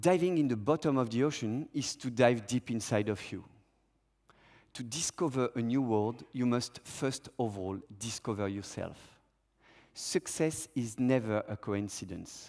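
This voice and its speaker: Captured in a very clean recording with a silent background, a man with a French accent talks at a medium pitch and fairly slow pace, with ordinary pitch variation and long, frequent pauses. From Monaco. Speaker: freediver. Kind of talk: conference talk.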